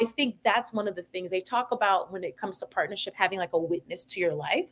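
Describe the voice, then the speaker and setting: At a very fast pace, a woman talks at a medium pitch with ordinary pitch variation. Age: 30s. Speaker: podcast guest. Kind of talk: casual chat.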